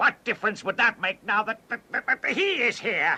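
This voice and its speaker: This man uses a cartoonish character voice with an extremely high pitch. His pace is moderate. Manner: servile.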